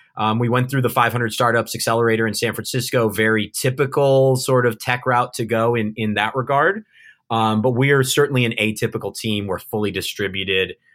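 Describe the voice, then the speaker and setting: Speaking at a fairly quick pace with a Californian accent, a man at a medium pitch leaves hardly any pauses on a very clean recording with a silent background. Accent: Californian American English. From Southern California. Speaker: remote-work company founder. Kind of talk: interview conversation. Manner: halting, many fillers and repeats.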